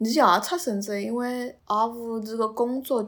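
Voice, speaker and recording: A woman speaks in a Suzhou accent with a fairly high pitch. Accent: Suzhou Wu speaker. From Suzhou, China. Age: 20s. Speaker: podcast guest, graduate student. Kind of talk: personal storytelling in Suzhou dialect. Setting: face-to-face recording.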